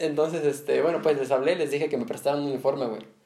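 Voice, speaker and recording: Fairly high in pitch yet dark and mellow in tone, this man's voice moves at a very fast pace. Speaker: podcast host. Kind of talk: casual chat.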